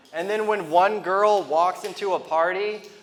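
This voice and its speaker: A man speaks with a high pitch at a moderate pace. There is noticeable background noise. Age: 30s. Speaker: stand-up comedian. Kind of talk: stand-up.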